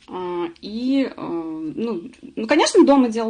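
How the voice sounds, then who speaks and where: Her pitch swings very widely as this woman speaks. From Russia, Samara. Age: 40s. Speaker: webinar presenter, former accountant. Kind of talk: webinar presentation. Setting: online webinar. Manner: many filler sounds.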